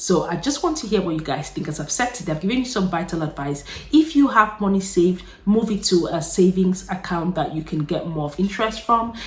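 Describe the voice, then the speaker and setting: Speaking at a fairly quick pace, a woman sounds animated, with lively intonation. There is noticeable background noise. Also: medium pitch for a woman. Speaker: YouTuber. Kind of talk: casual chat. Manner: fast.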